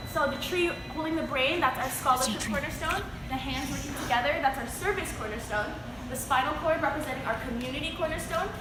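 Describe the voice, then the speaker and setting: A woman with a high voice speaks at a very fast pace and ordinary pitch variation, with audible room echo and noticeable background noise. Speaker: campus tour guide. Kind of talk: guided campus tour. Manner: quiet near library.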